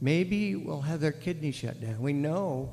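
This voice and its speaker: A man's fairly high voice, somewhat breathy, with lively intonation at a fairly slow pace. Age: 70s. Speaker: public commenter at hearing. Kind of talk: public testimony.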